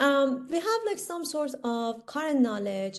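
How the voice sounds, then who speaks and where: Talking at a fairly slow pace, a woman with an Iranian accent shows ordinary pitch variation. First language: Persian. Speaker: instructor. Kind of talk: lecture. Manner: hesitant, many fillers.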